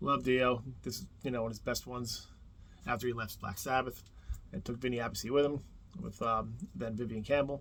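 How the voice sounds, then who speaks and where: Here a man with a New Jersey accent talks at a fairly quick pace. His intonation stays fairly even. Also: medium pitch for a man. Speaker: music YouTuber. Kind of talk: casual video monologue. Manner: casual, rambling with fillers.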